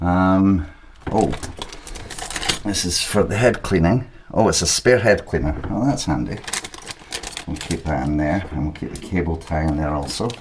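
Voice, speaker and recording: Over noticeable background noise and audible room echo, a man with a Scottish accent talks at a moderate pace with lively intonation and a very deep, low pitch. His speech has long, frequent pauses. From Scotland. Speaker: 3D printing hobbyist youtuber. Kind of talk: unboxing tutorial. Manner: casual.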